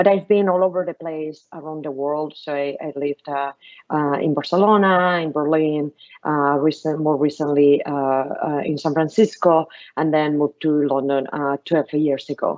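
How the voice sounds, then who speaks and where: With a Spanish accent, a woman speaks in a very deep, low pitch and fairly even intonation. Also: moderate pace. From Spain. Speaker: venture capitalist. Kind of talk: panel talk to school pupils.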